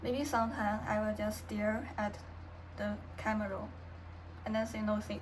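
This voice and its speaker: A woman with a Chinese accent at a fairly slow pace, with audible room echo. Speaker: vlogger. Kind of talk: personal vlog, unscripted. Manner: halting, with many pauses and fillers.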